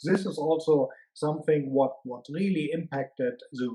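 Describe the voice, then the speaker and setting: The speaker has a strong German accent and a dark, mellow tone. The pace is moderate, and the intonation is fairly even. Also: man. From Germany. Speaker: management consultant. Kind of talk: interview. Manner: hesitant, many fillers.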